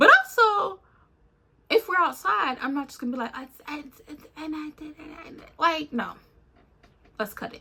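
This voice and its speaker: A raised, projected voice with an animated tone moves at a moderate pace, broken by long, frequent pauses. Its pitch swings very widely and its loudness swings a lot. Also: woman, high pitch for a woman. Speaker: YouTuber. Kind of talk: casual rant to camera.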